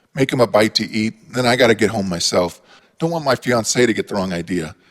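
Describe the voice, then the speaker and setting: A man's raspy, put-on character voice at medium pitch, fairly quick in pace, with lively intonation and a dry, close sound with no echo. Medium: read story.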